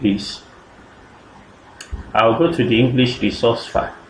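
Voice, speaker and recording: A man with a medium-pitched voice talks at a fairly slow pace, with audible room echo and noticeable background noise. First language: not French. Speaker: software tutorial creator. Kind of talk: screen-recorded coding tutorial. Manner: halting, with self-corrections and fillers.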